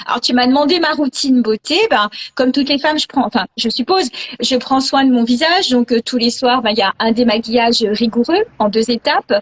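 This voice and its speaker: At a moderate pace, a woman speaks in a high pitch, with a dry, close sound with no echo and noticeable background noise. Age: 60s. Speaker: image consultant. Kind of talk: casual chat. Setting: video call.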